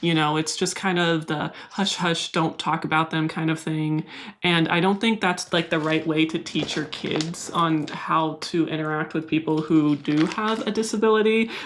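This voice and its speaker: A woman with a Californian accent, fairly low pitch, fairly even intonation, very even loudness, a moderate pace with hardly any pauses, and noticeable background noise. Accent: Californian American. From US West Coast, San Diego. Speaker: plant YouTuber. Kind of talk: casual vlog talk to camera. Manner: mild stutter edited out.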